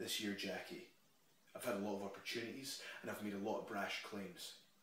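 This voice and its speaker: Very fast speech in a Scottish accent carries an intense, menacing tone. Audible room echo surrounds it. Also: man. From Scotland. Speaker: professional wrestler. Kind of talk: wrestling promo: taunting monologue addressed straight to his opponent. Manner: intense, building, trash-talking swagger; punchy, declarative, menacing closing lines. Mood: intense, confrontational. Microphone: phone near.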